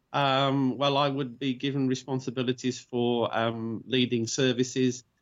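A man talks at a medium pitch with an English accent. His pace is moderate and his intonation monotone and flat. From England, Birmingham. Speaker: convert to Judaism. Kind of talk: interview. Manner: halting, with fillers.

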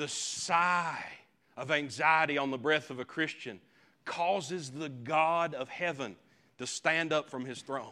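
This man's voice sits fairly high and sounds bright and sharp on a very clean recording with a silent background. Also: ordinary pitch variation, fairly slow pace. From Appalachian mountains, US. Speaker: preacher. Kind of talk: sermon. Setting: church.

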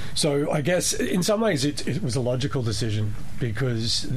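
A man with an Australian accent, plus audible room echo and noticeable background noise. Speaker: novelist. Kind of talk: radio interview. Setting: radio studio.

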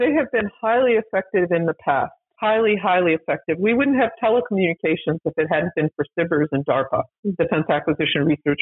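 An ordinary speaking voice from a woman with an American accent, medium in pitch, with lively intonation and a fairly quick pace. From US, small town. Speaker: former defense acquisition official. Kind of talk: interview.

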